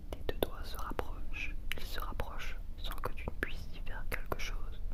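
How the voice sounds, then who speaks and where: The speaking pace is moderate, and noticeable noise runs in the background. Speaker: ASMR hypnosis guide. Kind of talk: ASMR hypnosis session. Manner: whispered.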